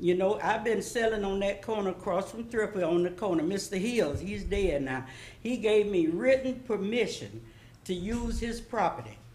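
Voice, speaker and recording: There is audible room echo and noticeable background noise around a woman's voice. She talks at a moderate pace and medium pitch with ordinary pitch variation. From US South, Florida. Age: 80s+. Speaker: public commenter. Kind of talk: public comment at city meeting. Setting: city commission meeting.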